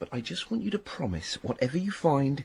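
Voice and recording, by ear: In a put-on character voice, a man speaks at a fairly quick pace with big pitch swings, a slightly mellow tone, vocal fry and a husky, rough edge. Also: medium pitch for a man.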